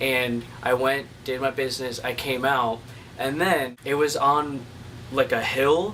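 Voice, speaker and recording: Noticeable background noise runs under a man speaking at a fairly slow pace. His medium-pitched voice keeps fairly even intonation. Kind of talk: casual talk to camera, vlog storytelling.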